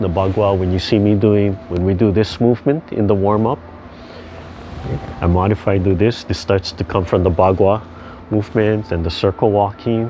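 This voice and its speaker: In a Hawaiian accent, a man talks at a moderate pace and a fairly low pitch. His intonation is fairly even, and the background noise is noticeable. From Hawaii (Hilo, Big Island). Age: 60s. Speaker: tai chi instructor. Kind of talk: casual talk about his background. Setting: video call. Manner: relaxed, halting with fillers.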